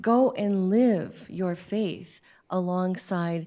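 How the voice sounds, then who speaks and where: In a very clean recording with a silent background, a woman's dark, mellow voice sits at a medium pitch with fairly even intonation. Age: 60s. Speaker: prison chaplain. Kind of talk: panel discussion.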